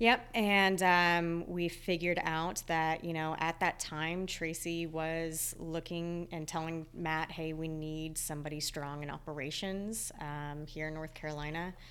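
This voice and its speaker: A woman with an American accent, an ordinary speaking voice and a fairly low pitch talks at a fairly slow pace with fairly even intonation and hardly any pauses. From Texas. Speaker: operations coach. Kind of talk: casual interview.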